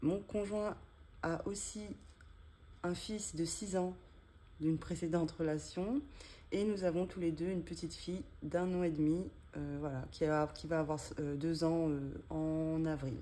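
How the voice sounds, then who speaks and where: Fairly slow speech with long, frequent pauses and ordinary pitch variation. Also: woman, fairly low pitch for a woman. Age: 30s. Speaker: budget vlogger. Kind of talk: casual vlog tutorial. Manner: halting, many hesitations.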